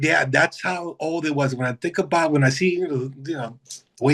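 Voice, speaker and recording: An ordinary speaking voice, moving at a moderate pace with ordinary pitch variation. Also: man. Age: 60s. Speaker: hospital biomedical equipment technician. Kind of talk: casual interview.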